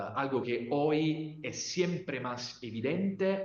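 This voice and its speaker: A man with an Italian accent, fairly high-pitched, at a very slow pace with ordinary pitch variation and audible room echo. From Italy. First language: Italian (speaking Spanish). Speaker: legal scholar. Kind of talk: lecture. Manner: halting, many fillers.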